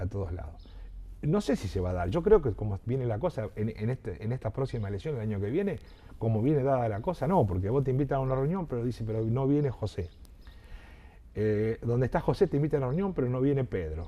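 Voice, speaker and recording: Speaking very fast, a man with a medium pitch and a dark, mellow tone sounds somewhat breathy, his pitch swinging very widely. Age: 60s. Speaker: local politician and journalist. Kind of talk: interview. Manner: halting, many repetitions.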